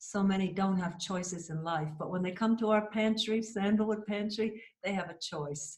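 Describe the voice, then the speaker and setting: In an American accent, a woman uses a normal speaking voice of medium pitch, keeping a moderate pace and fairly even intonation. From USA. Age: 60s. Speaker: cancer survivor, patient. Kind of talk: interview testimony.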